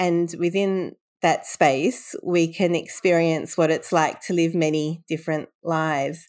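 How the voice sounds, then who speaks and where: A woman with an Australian accent speaks at a fairly slow pace in a fairly low voice. Her pitch varies in an ordinary way, and the recording is very clean with a silent background. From Sydney, Australia. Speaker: bibliotherapist and author. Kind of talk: interview storytelling.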